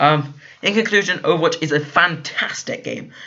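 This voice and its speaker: A man speaks with a British accent. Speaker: gaming YouTuber. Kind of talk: video game review. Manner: halting, many fillers.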